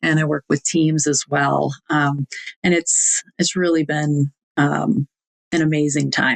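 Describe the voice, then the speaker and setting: A woman's very deep, low voice with a Wisconsin accent, very even in loudness and very slow in pace. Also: fairly even intonation. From US Midwest, Wisconsin (Fond du Lac). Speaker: executive coach. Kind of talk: podcast interview. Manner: hesitant, many fillers.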